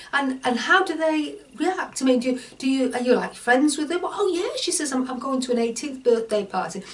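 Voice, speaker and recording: A woman's high voice with lively intonation at a fairly quick pace, over noticeable background noise. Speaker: online course teacher. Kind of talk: tutorial. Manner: halting.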